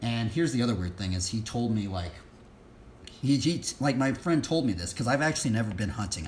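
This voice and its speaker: In a room with audible echo, a man with a fairly low, somewhat breathy voice talks at a fairly quick pace with lively intonation. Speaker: livestreamer leading Bible study and BMX practice. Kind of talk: casual livestream chat. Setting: live stream. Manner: fast; halting, many fillers.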